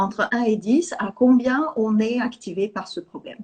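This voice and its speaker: Here a woman speaks with a high pitch. Her pace is fairly slow. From Sweden. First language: Swedish (speaking French). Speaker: EFT teacher. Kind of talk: interview. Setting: live video call.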